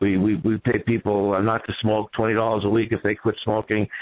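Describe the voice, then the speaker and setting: A man with a Boston accent speaks very fast in a fairly low pitch. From Boston area, New England. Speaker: business owner. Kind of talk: interview. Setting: radio show.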